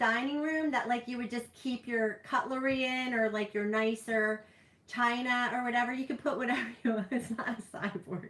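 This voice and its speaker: In a New Jersey accent, a woman talks in a high-pitched voice. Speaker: streamer. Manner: casual, rambling.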